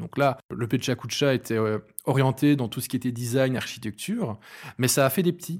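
A man's medium-pitched, somewhat breathy voice at a fairly quick pace, with ordinary pitch variation, on a very clean recording with a silent background. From Belgium, Hainaut. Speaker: event organizer. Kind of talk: casual interview.

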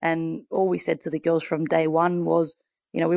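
A woman with an Australian accent talks at a fairly low pitch, the sound dry and close with no echo against a quiet background. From Western Sydney, Australia. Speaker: football coach and former player. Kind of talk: interview.

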